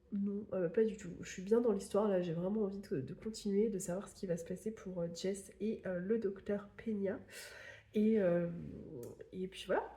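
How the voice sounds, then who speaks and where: Somewhat breathy, a woman speaks at a fairly slow pace and medium pitch, her intonation fairly even. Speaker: book YouTuber. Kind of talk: casual vlog book review. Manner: hesitant, many fillers.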